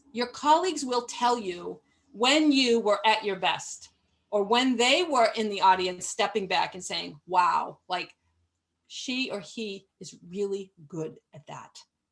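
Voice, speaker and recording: In a plain, everyday voice, a woman speaks at medium pitch and a fairly slow pace. Her intonation is lively, and her loudness swings widely. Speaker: management consultant and webinar presenter. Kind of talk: webinar presentation. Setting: live webinar.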